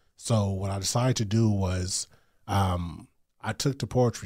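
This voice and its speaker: Somewhat breathy and fairly low, a man with an American accent speaks at a fairly slow pace with fairly even intonation. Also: very clean recording, silent background. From US West Coast, Long Beach, California. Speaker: author and poet. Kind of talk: casual interview. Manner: halting, many fillers and repetitions.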